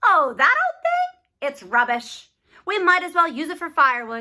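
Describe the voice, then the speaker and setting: A squeaky, put-on character voice at a moderate pace, with lively intonation and big swings in loudness. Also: woman, extremely high pitch for a woman. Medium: read story. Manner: brisk, practical.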